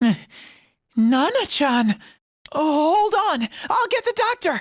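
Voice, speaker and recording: This put-on character voice sits high in pitch, swings very widely in pitch and moves at a fairly slow pace. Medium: video game. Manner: earnest.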